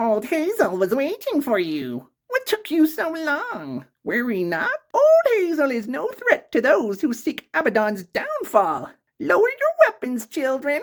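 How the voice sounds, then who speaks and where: This put-on character voice is high-pitched and nasal, delivered at a fairly slow pace. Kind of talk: old grandmother voice. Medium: actual play. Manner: refers to herself in third person.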